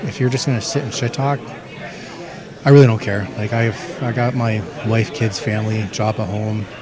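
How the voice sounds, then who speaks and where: A man with a Canadian accent, long and frequent pauses, crowd noise in the background, and audible room echo. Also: medium pitch for a man, ordinary pitch variation, moderate pace. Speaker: MMA fighter. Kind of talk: interview.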